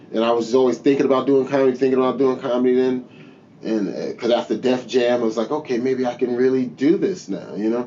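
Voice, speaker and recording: The speaker has an American accent and a very fast pace. Intonation is fairly even, with noticeable background noise. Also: man, medium pitch for a man. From New Jersey. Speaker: stand-up comedian. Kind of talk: casual podcast interview. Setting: studio.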